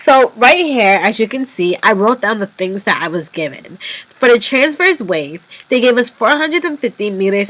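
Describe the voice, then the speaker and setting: Over noticeable background noise, a woman speaks at a moderate pace in a fairly high voice with very wide pitch swings. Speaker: physics tutorial presenter. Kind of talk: tutorial.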